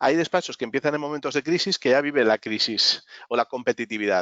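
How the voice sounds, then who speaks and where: A very fast-talking man, fairly high in pitch, with ordinary pitch variation. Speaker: business consultant. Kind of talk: webinar talk.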